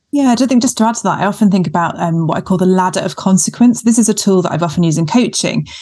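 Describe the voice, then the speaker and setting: A woman's somewhat breathy voice of medium pitch and a dark, mellow tone, at a very fast pace. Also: ordinary pitch variation, hardly any pauses. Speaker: GP and podcast co-host. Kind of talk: casual panel chat.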